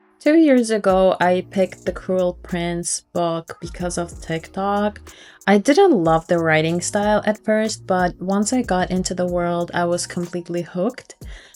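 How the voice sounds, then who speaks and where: A woman with a Ukrainian accent talks at a fairly slow pace with hardly any pauses, at a medium pitch with ordinary pitch variation. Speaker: book vlogger. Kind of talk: casual vlog narration.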